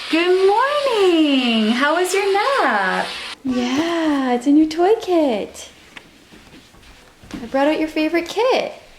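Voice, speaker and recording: A woman with an extremely high voice speaks very slowly, her pitch swinging very widely between long, frequent pauses. Audible room echo and noticeable background noise fill the recording. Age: 30s. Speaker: parenting vlogger with type 1 diabetes. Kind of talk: casual vlog talk to camera.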